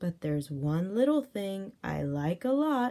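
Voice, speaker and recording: A female-sounding put-on character voice at medium pitch, with very wide pitch swings and a fairly slow pace. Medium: read story.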